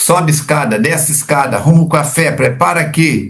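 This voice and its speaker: A man speaks with a fairly high pitch. His voice carries vocal fry. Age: 70s. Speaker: spiritist study leader. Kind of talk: religious book study discussion. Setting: recording from home.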